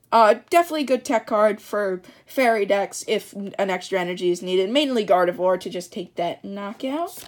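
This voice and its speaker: A woman speaks at a fairly quick pace and medium pitch with lively intonation and big swings in loudness, in a very clean recording with a silent background. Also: hardly any pauses. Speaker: card opening youtuber. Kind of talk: unboxing commentary. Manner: fast; halting, stumbling.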